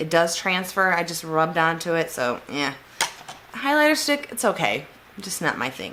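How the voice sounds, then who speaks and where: A woman's pitch swings very widely as she talks at a moderate pace, with noticeable background noise behind her. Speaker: beauty vlogger. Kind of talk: casual unboxing review.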